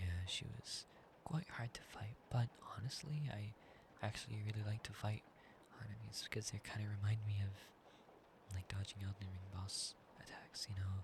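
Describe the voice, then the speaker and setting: A soft-spoken, somewhat breathy man at a fairly low pitch and moderate pace. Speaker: ASMR creator. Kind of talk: sleep-aid roleplay chat.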